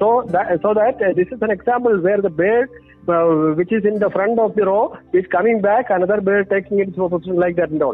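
He is a man with a high pitch, talking at a fairly quick pace. His loudness stays very even, and his pitch varies in an ordinary way. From Kerala, India. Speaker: behavioral scientist and author. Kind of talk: interview. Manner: hesitant with frequent fillers.

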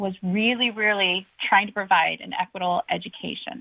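In an American accent, a woman with a normal speaking voice and medium pitch talks at a moderate pace with fairly even intonation. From Washington State, Badger Canyon area. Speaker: county commissioner candidate. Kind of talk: radio interview. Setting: phone call.

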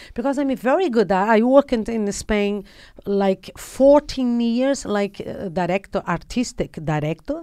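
Recorded very cleanly against a silent background, a woman with a fairly high, dark and mellow voice speaks at a fairly slow pace with lively intonation. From Brazil. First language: Portuguese. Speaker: actress and producer. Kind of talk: casual interview. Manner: animated; halting.

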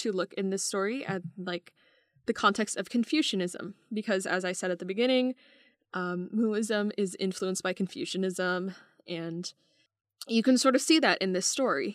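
On a very clean recording with a silent background and a dry, close sound with no echo, a woman uses an ordinary speaking voice at a medium pitch, talking at a moderate pace with lively intonation. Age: 20s. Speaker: podcast co-host, college student. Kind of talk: casual chat about mythology.

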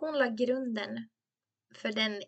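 Speaking at a very slow pace, a woman has a bright, sharp tone in a dry, close recording with no echo. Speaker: podcast host, beauty educator. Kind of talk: educational monologue with personal anecdotes. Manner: chatty, laughs often.

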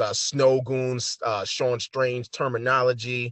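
A man speaks with a New York accent. His pace is very slow. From New York City. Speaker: photographer and hip hop artist. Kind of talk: casual interview.

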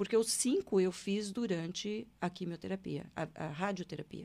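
In a very clean recording with a silent background, a woman with an ordinary speaking voice talks at a moderate pace, with medium pitch and ordinary pitch variation. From Brazil, Paraná (Londrina). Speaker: hypnotherapist, retired public prosecutor. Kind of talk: interview, life story. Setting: studio.

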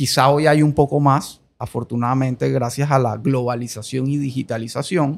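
A man with a plain, everyday voice speaks at a medium pitch and a moderate pace, with hardly any pauses. The intonation is fairly even, and the recording is very clean with a silent background. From Colombia. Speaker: podcast host. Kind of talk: interview.

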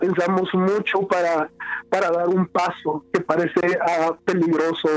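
Music plays behind a man with a high-pitched voice. He speaks fairly slowly at a very even loudness. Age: 20s. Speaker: pastor. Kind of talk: interview conversation. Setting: phone call. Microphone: phone line with some interference.

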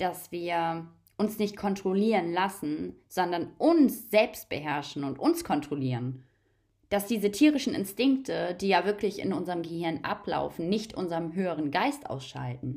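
A woman with a fairly low voice speaks at a fairly slow pace in very wide pitch swings, on a very clean recording with a silent background. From Germany. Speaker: holistic coach and spiritual podcaster. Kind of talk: spiritual monologue.

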